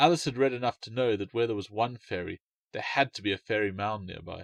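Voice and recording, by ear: A man talks at a fairly quick pace with fairly low pitch and vocal fry. The sound is dry and close, with no echo. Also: ordinary pitch variation.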